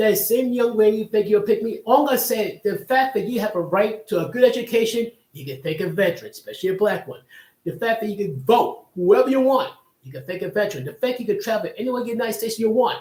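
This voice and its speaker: A man's extremely high-pitched voice at a very fast pace. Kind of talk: live stream commentary talk show. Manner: casual, opinionated.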